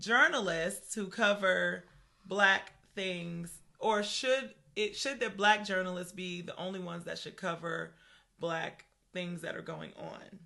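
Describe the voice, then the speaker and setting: Speaking at a fairly slow pace, a woman with medium pitch and a bright, sharp tone shows vocal fry, ordinary pitch variation and big swings in loudness. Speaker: podcast co-host. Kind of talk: casual chat. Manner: conversational, animated.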